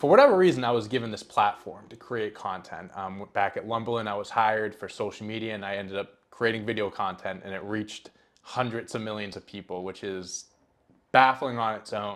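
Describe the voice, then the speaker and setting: A man's fairly low voice with fairly even intonation and big swings in loudness. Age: 20s. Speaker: podcast host. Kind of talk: casual monologue. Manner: fast; halting.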